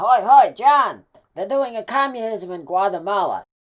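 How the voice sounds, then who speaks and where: A cartoonish character voice, female-sounding and fairly high-pitched, at a moderate pace. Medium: puppet. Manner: excitable.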